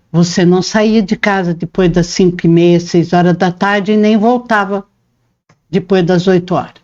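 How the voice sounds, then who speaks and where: In a normal speaking voice, a woman talks at a fairly slow pace with medium pitch and ordinary pitch variation. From Paraná, Brazil (born in interior São Paulo). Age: 60s. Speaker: interviewee, reporter's mother, homemaker. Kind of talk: interview, life story.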